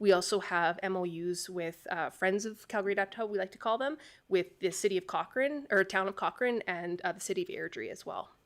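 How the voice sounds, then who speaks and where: A woman's medium-pitched voice at a fairly quick pace, hardly any pauses, ordinary pitch variation and big swings in loudness, on a very clean recording with a silent background. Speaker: director of an adapted sport and recreation organization. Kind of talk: presentation to council. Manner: fast.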